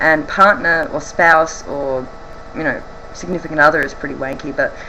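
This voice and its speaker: A woman with an Australian accent and a very deep, low pitch speaks at a moderate pace amid noticeable background noise and audible room echo. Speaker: vlogger. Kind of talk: casual Q&A vlog. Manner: hesitant, many ums.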